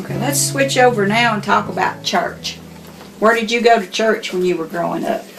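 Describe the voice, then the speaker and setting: Over noticeable background noise, a woman speaks at a moderate pace and medium pitch with lively intonation. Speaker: interviewer, daughter of the interviewee.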